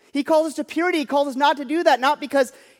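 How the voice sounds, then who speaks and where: On a very clean recording with a silent background, a man speaks at an extremely high pitch. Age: 30s. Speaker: pastor. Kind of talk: sermon.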